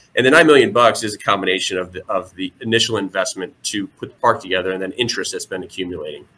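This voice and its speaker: A man rushes along at a very fast pace with hardly any pauses and big swings in loudness. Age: 40s. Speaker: local election candidate. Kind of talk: interview.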